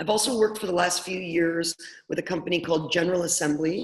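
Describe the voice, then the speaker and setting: A woman's fairly low voice in a Canadian accent, fairly quick, over noticeable background noise. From Canada, Toronto. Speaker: product coach. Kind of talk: webinar presentation. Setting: online webinar call.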